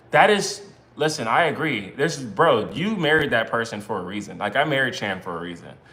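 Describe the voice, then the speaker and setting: An American accent with very wide pitch swings, noticeable background noise and audible room echo. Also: man, medium pitch for a man, fairly quick pace. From US Northeast, Brooklyn, New York. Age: 30s. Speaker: married couple content creator. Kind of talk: casual livestream chat. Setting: live stream with spouse.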